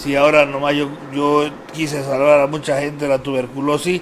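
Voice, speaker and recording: A man talks with a fairly high pitch. Noticeable background noise is present throughout. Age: 60s. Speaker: talk show host, former parliamentarian. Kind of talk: casual interview talk show.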